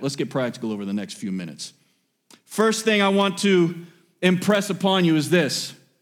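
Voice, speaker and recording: The delivery is animated in tone, with lively intonation. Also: man. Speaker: preacher. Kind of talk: sermon. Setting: church. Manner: animated, exhortative pulpit delivery that directly addresses the congregation; emphatic, repeats key phrases and pauses for 'amen' responses.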